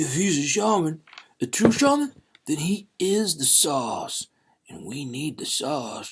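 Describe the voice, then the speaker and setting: A man puts on a character voice. It sits at a fairly high pitch and moves at a fairly slow pace. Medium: read story. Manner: grumbling, conspiratorial.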